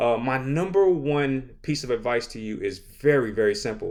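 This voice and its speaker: A man's voice, very clean recording, silent background. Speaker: teacher and podcast host. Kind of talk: podcast monologue with teaching advice. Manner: fast; many fillers like uh and um.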